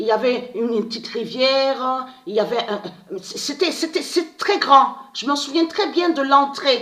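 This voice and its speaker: Over noticeable background noise, a woman speaks at a fairly slow pace with a high pitch and very wide pitch swings. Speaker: online video monologuist. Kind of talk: casual monologue to viewers. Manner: halting, repetitive.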